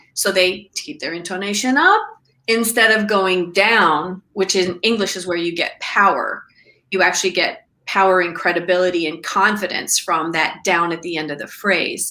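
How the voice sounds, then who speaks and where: An American accent at a moderate pace, with ordinary pitch variation. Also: woman, medium pitch for a woman. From US Midwest, Iowa. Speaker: communication coach. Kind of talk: casual chat. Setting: video call.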